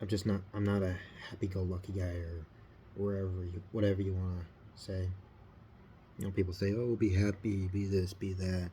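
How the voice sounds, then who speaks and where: A man's very deep, low, somewhat breathy voice with a dark, mellow tone, flat monotone intonation, a fairly quick pace and long, frequent pauses. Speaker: scale model builder. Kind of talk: casual hobby video talk. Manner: halting.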